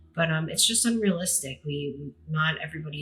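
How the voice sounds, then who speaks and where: The speaker talks at a fairly quick pace. Music can be heard in the background. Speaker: podcast host. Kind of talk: casual monologue. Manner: fast; hesitant, many fillers.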